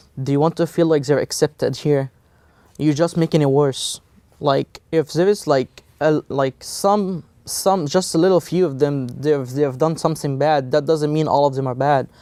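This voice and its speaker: Speaking with an Egyptian accent, a man uses a fairly high pitch and fairly even intonation at a moderate pace, in a dry, close sound with no echo. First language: Egyptian Arabic. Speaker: college student. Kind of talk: interview. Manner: halting, many fillers.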